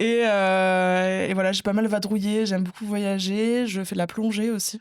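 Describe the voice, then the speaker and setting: This woman's voice sits at a medium pitch and stays monotone and flat. She speaks at a fairly slow pace. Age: 20s. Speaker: entrepreneur, marketing specialist. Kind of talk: interview podcast.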